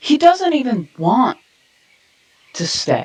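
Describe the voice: A man speaks slowly in a put-on character voice, pitched extremely high with big swings and a slightly mellow tone.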